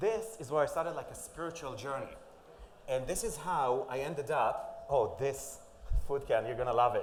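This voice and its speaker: Someone with an Israeli accent speaks at a moderate pace with lively intonation, with audible room echo and noticeable background noise. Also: man, fairly high pitch for a man. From Israel (Safed). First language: Hebrew. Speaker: conference speaker, influencer and author. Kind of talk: conference talk. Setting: stage with audience. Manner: animated, varied intonation.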